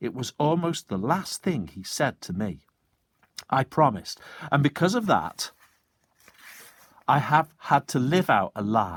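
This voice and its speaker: A man with a fairly high pitch and vocal fry speaks at a fairly slow pace, his voice making very wide pitch swings between long, frequent pauses. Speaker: teacher. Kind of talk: children's story reading.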